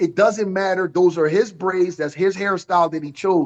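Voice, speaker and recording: A man speaks loudly in a high-pitched, animated tone. His pace is moderate. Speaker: boxing trainer. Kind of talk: panel discussion.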